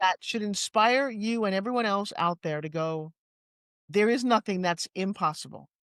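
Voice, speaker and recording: With a New York accent, a woman speaks at a moderate pace and medium pitch with ordinary pitch variation, the sound dry and close with no echo over a quiet background. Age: 60s. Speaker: fitness entrepreneur and pitch coach. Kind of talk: interview conversation. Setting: studio. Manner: animated.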